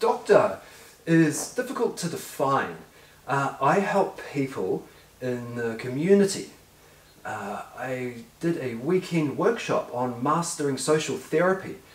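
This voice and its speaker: There is audible room echo as a man talks at a fairly slow pace. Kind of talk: staged conversational answer. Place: home room.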